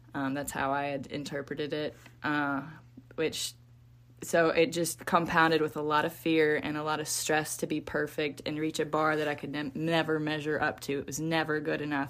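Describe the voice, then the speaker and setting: A woman with a very deep, low pitch talks at a moderate pace in a monotone, flat intonation. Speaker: guest, psychology-trained thinker. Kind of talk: casual conversation.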